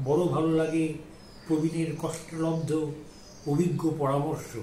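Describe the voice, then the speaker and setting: Here a man talks with a fairly high voice. There is noticeable background noise. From Kolkata. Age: 80s+. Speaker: amateur poet. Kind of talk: poetry reading.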